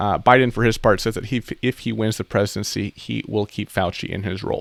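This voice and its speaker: A man talks fairly quickly in a fairly low voice with vocal fry and fairly even intonation, the sound dry and close with no echo. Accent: American. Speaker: YouTuber and accountant giving news updates. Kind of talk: casual news commentary to camera. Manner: fast.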